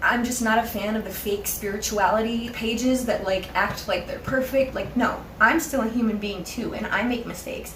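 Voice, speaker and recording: Pitched fairly high, a woman talks at a moderate pace with audible room echo and noticeable background noise. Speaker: spiritual YouTuber. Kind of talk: casual vlog monologue. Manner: animated, passionate.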